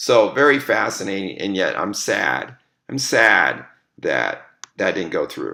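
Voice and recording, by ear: A raspy, put-on character voice from a man at a fairly slow pace.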